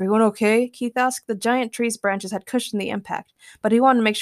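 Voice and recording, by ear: Reading aloud in a natural voice, with fairly even intonation, against a quiet background.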